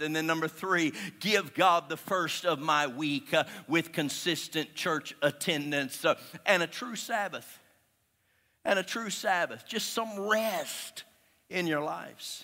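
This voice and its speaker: A man speaks fairly slowly in a bright, sharp tone at a fairly high pitch, with ordinary pitch variation. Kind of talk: sermon. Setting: church with live congregation. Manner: animated, exhorting.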